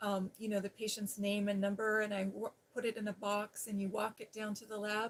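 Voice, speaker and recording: A woman speaks at a fairly quick pace with an American accent, her intonation monotone and flat. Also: medium pitch for a woman, hardly any pauses. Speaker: ASMR creator and former nurse. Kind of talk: casual storytelling about her nursing past. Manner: soft-spoken, soothing.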